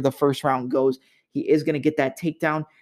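Here a man speaks at a very fast pace with a fairly high pitch. The sound is dry and close with no echo. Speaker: podcast host. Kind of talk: MMA fight preview and analysis monologue.

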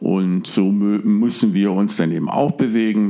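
Noticeable background noise behind a man with a fairly low pitch. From northern Germany (Hamburg, Stade). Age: 50s. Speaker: fly fishing angler. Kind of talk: interview.

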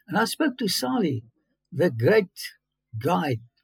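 A man with a South African accent makes very wide pitch swings. The recording is very clean and silent in the background, with a dry, close sound and no echo. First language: Afrikaans. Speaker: biblical archaeologist. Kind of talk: interview. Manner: animated.

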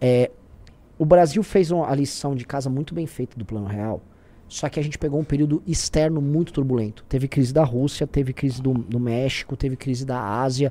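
On a very clean recording with a silent background, a man with a fairly high pitch and a dark, mellow tone speaks at a fairly quick pace with ordinary pitch variation. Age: 30s. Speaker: political commentator. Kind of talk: casual political chat. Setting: live stream.

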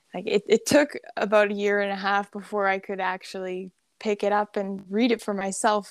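A woman in a normal speaking voice, medium pitch, at a moderate pace. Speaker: hypnosis practitioner. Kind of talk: casual interview chat. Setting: remote call.

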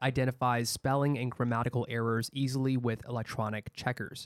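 In a very clean recording with a silent background and a dry, close sound with no echo, a man talks fairly quickly at a medium pitch in a normal speaking voice. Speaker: podcast host. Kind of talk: casual chat. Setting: studio.

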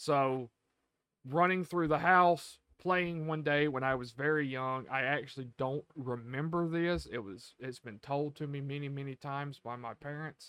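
A man speaks with an American accent at a fairly high pitch. His tone is bright and sharp, and the background is quiet. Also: ordinary pitch variation, moderate pace. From US South, rural. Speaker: podcast co-host. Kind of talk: casual chat.

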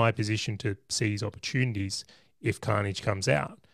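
A man with an Australian accent at a fairly quick pace, in a dry, close sound with no echo. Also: very clean recording, silent background. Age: 30s. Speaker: property investor and business owner. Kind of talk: podcast interview.

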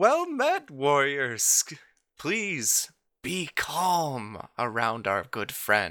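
A man's put-on character voice, fairly high in pitch, at a very slow pace. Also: very clean recording, silent background. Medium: actual play. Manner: grandiose, warm, theatrical.

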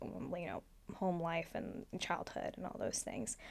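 A woman's ordinary speaking voice, fairly low in pitch, with an American accent, at a moderate pace. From US, Oregon. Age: 20s. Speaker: former rose queen. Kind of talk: casual interview.

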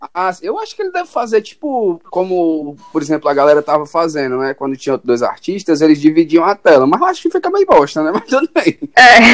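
A man talks at a fairly quick pace with hardly any pauses. The sound is dry and close with no echo, though background noise is noticeable. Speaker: podcast host, journalism student. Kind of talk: casual chat.

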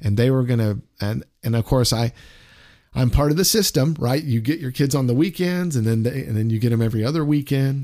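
Fairly quick male speech at a medium pitch, dark and mellow in tone, with ordinary pitch variation. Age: 50s. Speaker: radio disc jockey. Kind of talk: casual chat.

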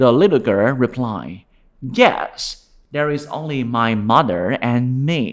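A man of medium pitch, talking at a very slow pace over a quiet background. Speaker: storyteller. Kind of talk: fairy-tale narration for children. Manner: gentle, warm, slow-paced storytelling.

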